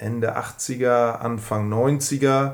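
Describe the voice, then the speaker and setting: A man's voice with fairly even intonation. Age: 40s. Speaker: scooter enthusiast. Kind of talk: casual interview. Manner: hesitant, many fillers.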